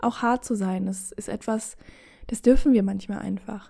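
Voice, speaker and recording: In a relaxed tone, a woman talks at a fairly slow pace with ordinary pitch variation. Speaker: podcast host. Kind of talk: casual chat.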